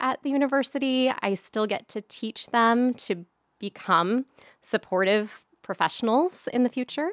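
A woman with an American accent speaks at a fairly slow pace in an ordinary speaking voice, with a dry, close sound with no echo and a very clean recording with a silent background. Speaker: social work educator and grief specialist.

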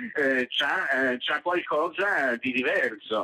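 A man talks at a very slow pace while noticeable background noise carries on. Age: 70s. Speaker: journalist and ebook publisher. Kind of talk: interview. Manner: halting.

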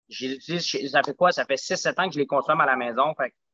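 Speaking with a Quebec accent, a man has a fairly high pitch and ordinary pitch variation. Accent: Quebec French, barely any Spanish. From Quebec, Montreal South Shore. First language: Spanish (speaking French). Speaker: smoothie bar and gym owner. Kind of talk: casual interview.

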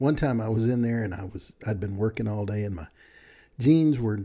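A man speaks with an American accent. His tone is warm, dark and mellow, with ordinary pitch variation. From Texas. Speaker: podcast host. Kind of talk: casual solo podcast monologue. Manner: friendly, warm, conversational.

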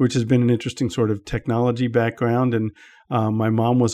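The man has an American accent and a medium pitch. His tone is dark and mellow, and his intonation stays flat and monotone. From US, Washington DC area. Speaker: tech journalist and publication founder. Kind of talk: interview.

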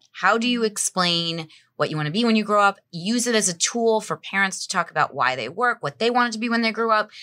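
In a New Jersey accent, a woman speaks at a fairly quick pace with a bright, sharp tone, medium pitch and lively intonation, recorded very cleanly against a silent background with a dry, close sound and no echo. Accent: New Jersey American. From northern New Jersey (Bergen County). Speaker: staffing firm founder. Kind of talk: casual interview.

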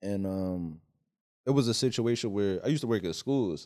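On a very clean recording with a silent background, a man with a Philadelphia accent speaks at a moderate pace in a fairly low, dark, mellow voice with ordinary pitch variation. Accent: Philly. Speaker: stand-up comedian. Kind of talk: casual chat.

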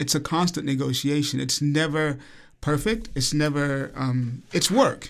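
The recording is very clean with a silent background, featuring a man with an American accent. He speaks at a fairly slow pace in a fairly high pitch with ordinary pitch variation. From Alabama, US South. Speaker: choreographer and dancer. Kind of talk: interview.

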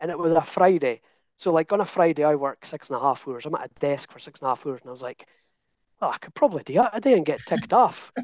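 A man with a Scottish accent and fairly high pitch, very fast, with big swings in loudness and a dry, close sound free of echo. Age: 30s. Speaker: coaching client. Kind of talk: interview. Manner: animated.

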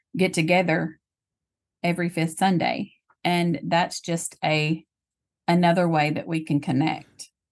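Speaking fairly slowly in a Tennessee accent, a woman with a fairly low voice keeps her intonation fairly even and leaves long, frequent pauses, with a quiet background behind her. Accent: Southern US (Tennessee). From US South, Tennessee. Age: 40s. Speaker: legal secretary and church worship leader. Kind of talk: casual interview about faith.

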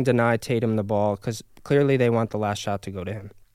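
With an American accent and an ordinary speaking voice, a man talks at a fairly quick pace and medium pitch in a very clean recording with a silent background and a dry, close sound with no echo. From upstate New York, near Albany. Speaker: sports podcast host. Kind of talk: casual sports chat.

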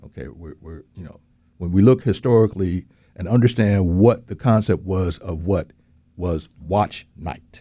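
A man speaks at a fairly slow pace with a very deep, low pitch and a dark, mellow tone. His pitch varies in an ordinary way while his loudness swings widely. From outside Florida. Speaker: co-host.

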